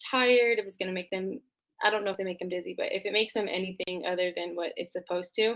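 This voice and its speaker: Medium pitch from a woman's voice. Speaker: nursing student presenter. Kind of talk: class presentation. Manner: fast; casual, filler-heavy.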